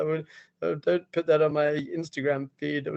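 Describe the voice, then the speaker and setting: At a very fast pace, a man speaks at a fairly high pitch. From London, England. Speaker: rabbi. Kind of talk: lecture. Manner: animated.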